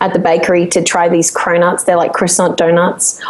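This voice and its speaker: A woman with an Australian accent speaks at a moderate pace over noticeable background noise. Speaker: singer-songwriter. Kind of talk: podcast interview answer. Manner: laughing, upbeat.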